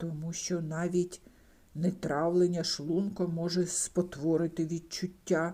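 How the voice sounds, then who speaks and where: A woman speaks in a gruff, put-on character voice at a fairly low pitch. Her pace is fairly slow and her intonation is flat and monotone. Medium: read story. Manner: gruff, snapping.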